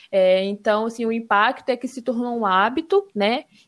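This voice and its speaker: A woman speaks at a high pitch in a very clean recording with a silent background. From Brazil, Espírito Santo (Serra). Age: 20s. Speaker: environmental engineering student. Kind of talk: casual podcast conversation.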